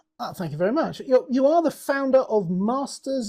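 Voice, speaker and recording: Here a man talks with a British accent. His pace is moderate. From Britain. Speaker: podcast host. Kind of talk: interview.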